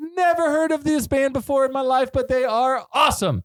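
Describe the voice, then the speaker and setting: A man with an extremely high pitch, on a very clean recording with a silent background. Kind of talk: plain, normal speaking voice. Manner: intense.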